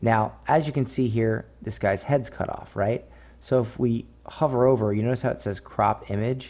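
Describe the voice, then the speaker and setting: A man talks in a dark, mellow tone. His intonation stays fairly even. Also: medium pitch for a man. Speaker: online marketing instructor. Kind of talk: tutorial. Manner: slow, explanatory; casual, filler-heavy.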